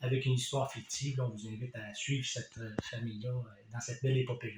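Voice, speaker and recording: Speaking fairly quickly, a man uses a medium-pitched voice with ordinary pitch variation. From Quebec, Compton (Eastern Townships). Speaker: author. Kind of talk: casual book presentation. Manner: hesitant, many fillers.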